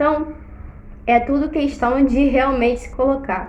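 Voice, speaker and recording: A woman with a high pitch talks at a moderate pace, and audible room echo surrounds her voice. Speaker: teacher. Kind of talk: casual chat.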